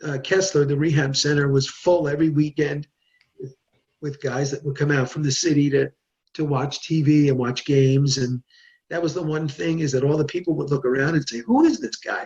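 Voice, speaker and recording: Somewhat breathy and fairly high, a man's voice moves with fairly even intonation. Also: fairly quick pace. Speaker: journalist and podcaster. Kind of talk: interview answer.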